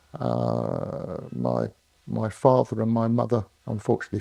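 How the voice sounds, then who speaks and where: Speaking at a fairly slow pace, a man with a southern English accent has a fairly low pitch and a dark, mellow tone, recorded dry and close with no echo. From southern England (London, Berkshire). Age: 70s. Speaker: retired engineer. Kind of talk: oral history interview. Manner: hesitant, many fillers.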